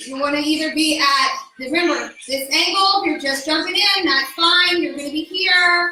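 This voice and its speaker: In a raised, projected voice, a woman speaks at an extremely high pitch with an energetic tone and audible room echo. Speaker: fitness instructor. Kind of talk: exercise class instruction. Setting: no microphone, unlike usual class. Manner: loud.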